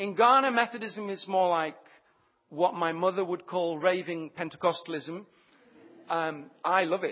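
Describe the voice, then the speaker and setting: A man speaks at a moderate pace in a high pitch, with ordinary pitch variation. Long pauses come often. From Leicestershire, English Midlands. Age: 30s. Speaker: Methodist minister and mission partner. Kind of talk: sermon.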